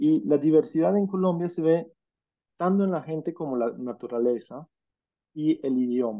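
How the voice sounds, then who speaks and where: Lively intonation marks this man's speech. His pitch is fairly high and his pace moderate. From Scandinavia (Norway, Denmark). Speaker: journalist and political scientist, speaker. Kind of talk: talk with slides. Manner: halting, with fillers.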